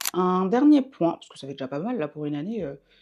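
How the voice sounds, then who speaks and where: Her voice has a dark, mellow tone at a medium pitch for a woman. The pitch swings very widely as she speaks. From Belgium, bilingual French-German area. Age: 20s. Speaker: beauty vlogger. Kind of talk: casual vlog monologue. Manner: fast; hesitant, many fillers.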